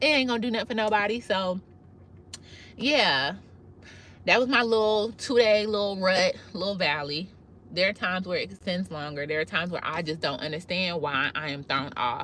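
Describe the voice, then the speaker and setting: A woman's medium-pitched voice at a moderate pace, with very wide pitch swings. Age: 30s. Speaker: cosmetologist and ADHD life-tips creator. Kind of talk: live video monologue. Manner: casual, conversational with false starts.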